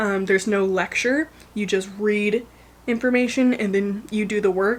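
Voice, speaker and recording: This woman's fairly high voice moves at a fairly slow pace with fairly even intonation, while noticeable background noise runs behind it. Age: young. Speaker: lifestyle vlogger. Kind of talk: casual vlog. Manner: rambling, casual with fillers.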